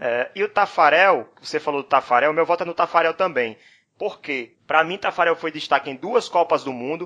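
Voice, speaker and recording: A man speaks at a moderate pace in a fairly high pitch with a bright, sharp tone. His pitch variation is ordinary, and the background is quiet. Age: 30s. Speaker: podcast host. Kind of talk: casual chat.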